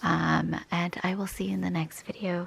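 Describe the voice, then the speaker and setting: A woman talks at a moderate pace and medium pitch, with noticeable background noise around her. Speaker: crafting tutorial host. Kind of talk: tutorial. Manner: low energy; halting.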